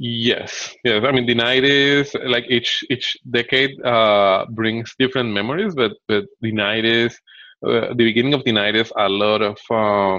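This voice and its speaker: A man with a Spanish accent at a moderate pace, with fairly even intonation and very even loudness, in a dry sound with no echo against a quiet background. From Bogotá, Colombia. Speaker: entrepreneur. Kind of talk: interview answer. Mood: reflective, calm. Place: home room. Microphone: webcam.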